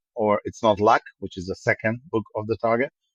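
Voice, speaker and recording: Here a man talks at a fairly quick pace. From England and Belgium, born in Israel. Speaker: tech company president. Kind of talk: podcast interview. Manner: many filler words and repetitions.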